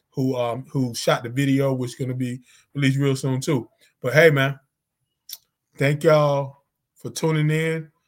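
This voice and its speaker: The speaker talks at a moderate pace with a North Carolina accent. Long pauses come often. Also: man, fairly high pitch for a man. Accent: Southern US, North Carolina. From North Carolina (Zebulon). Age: 50s. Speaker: podcast host and musician. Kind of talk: casual chat. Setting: online stream. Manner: animated.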